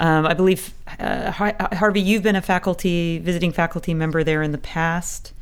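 This woman has a normal speaking voice, fairly low in pitch. She speaks at a moderate pace with fairly even intonation. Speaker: professor and co-host. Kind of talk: casual academic chat.

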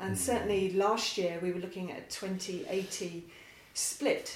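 Noticeable background noise sits behind a woman speaking at a moderate pace. Her medium-pitched voice keeps a monotone, flat intonation. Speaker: charity co-founder and podcast host. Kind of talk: casual interview.

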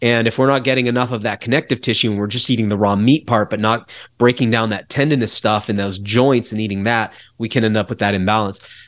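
Over a silent background in a very clean recording, a man speaks very fast at a medium pitch with fairly even intonation. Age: 40s. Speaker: wild foods and herbal products expert. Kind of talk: casual interview.

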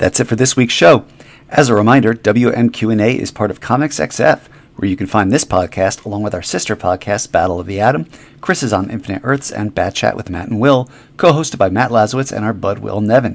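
A man's fairly low-pitched voice at a very fast pace, with ordinary pitch variation. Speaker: podcast host. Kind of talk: casual interview chat.

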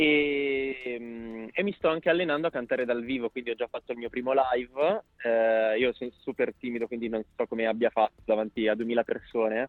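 A man talks fairly quickly, his pitch medium and its variation ordinary. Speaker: singer. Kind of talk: radio interview. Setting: phone call. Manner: halting.

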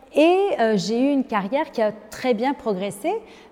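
A woman with a high pitch talks over noticeable background noise. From Lebanon. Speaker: business leader and women's advocate. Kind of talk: interview.

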